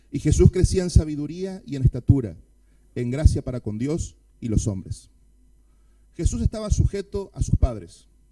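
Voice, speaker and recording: A man with an Argentine accent speaks in a dark, mellow tone, his pitch swinging very widely. He leaves long, frequent pauses. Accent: Argentine Spanish (Rioplatense, voseo). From Argentina. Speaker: pastor. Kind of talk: sermon. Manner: fast.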